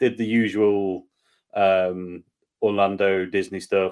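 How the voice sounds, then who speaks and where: A man with an English accent against a quiet background. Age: 30s. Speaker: beer and whiskey YouTuber. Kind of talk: casual chat. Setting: video call.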